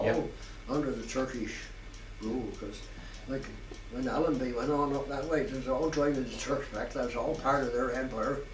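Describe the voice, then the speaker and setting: A man with a Dorset accent at a moderate pace, fairly even intonation, long and frequent pauses, noticeable background noise and audible room echo. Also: medium pitch for a man. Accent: rich Dorset. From southwest England, Dorchester in Dorset. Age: 90s (80s+). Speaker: war veteran. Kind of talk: oral history interview. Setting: care home. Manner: halting, with repetitions.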